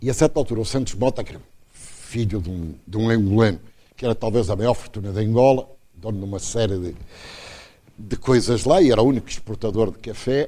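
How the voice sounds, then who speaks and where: Speaking at a fairly quick pace, a man uses a dark, mellow tone with ordinary pitch variation. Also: medium pitch for a man, big swings in loudness. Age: 80s+. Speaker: professor. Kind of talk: lecture. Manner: animated.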